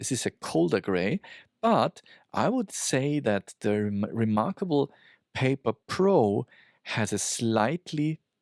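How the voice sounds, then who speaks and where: A man with a non-native accent and lively intonation, in a very clean recording with a silent background. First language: not English. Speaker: tech reviewer. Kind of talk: product review. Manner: halting, many fillers.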